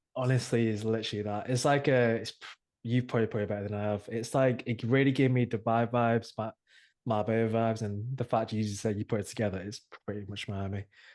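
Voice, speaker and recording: A man with an English accent talks very fast in a flat monotone at a medium pitch, against a quiet background. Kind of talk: casual chat.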